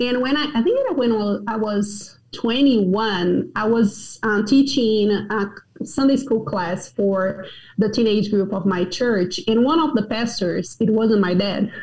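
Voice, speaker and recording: Speaking with a Portuguese accent, a woman has a fairly high, somewhat breathy voice. She moves at a fairly slow pace with ordinary pitch variation. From Brazil, Goiânia. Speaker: pastor. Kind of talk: interview.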